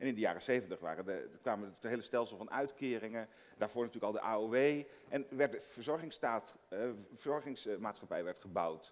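His pitch varies in an ordinary way as a man talks at a moderate pace. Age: 50s. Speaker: economist; guest. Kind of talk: panel discussion. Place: hall. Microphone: headset.

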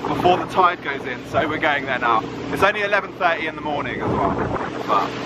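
Over loud background noise, a man talks at a very fast pace, the sound dry with no echo. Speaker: vlogger. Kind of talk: casual vlog chat. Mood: cheerful holiday mood. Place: boat. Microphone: phone near.

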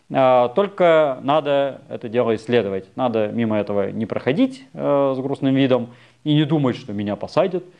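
A man with lively intonation at a moderate pace over a quiet background. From Russia. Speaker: anthropologist, university lecturer; anthropologist lecturer. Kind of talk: popular science lecture. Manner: casual, hesitant fillers (э). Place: studio. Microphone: lapel.

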